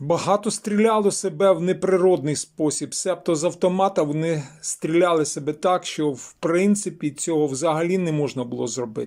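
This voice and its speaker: At a moderate pace and with ordinary pitch variation, the speaker talks with hardly any pauses on a very clean recording against a silent background. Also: man, high pitch for a man. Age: 50s. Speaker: journalist and video blogger. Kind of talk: video commentary monologue.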